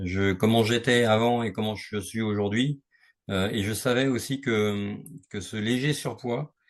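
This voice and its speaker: Against a quiet background, a man talks fairly slowly at a medium pitch with fairly even intonation. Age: 60s. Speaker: sales manager sharing a fitness testimonial. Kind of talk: interview testimony. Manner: hesitant, many fillers.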